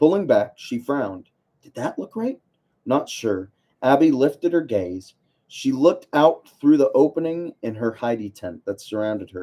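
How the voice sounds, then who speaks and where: A dark, mellow tone at a moderate pace, with big swings in loudness and very wide pitch swings. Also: man, fairly high pitch for a man. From United States. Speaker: online book club host. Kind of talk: reading aloud. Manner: casual, self-deprecating asides.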